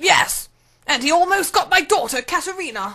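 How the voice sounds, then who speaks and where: In a put-on character voice with an extremely high pitch, the speaker moves at a moderate pace. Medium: audio drama.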